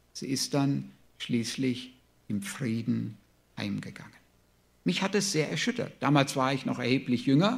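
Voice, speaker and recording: This man's fairly high voice swings very widely in pitch, with vocal fry, at a fairly slow pace. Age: 60s. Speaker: preacher. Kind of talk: sermon.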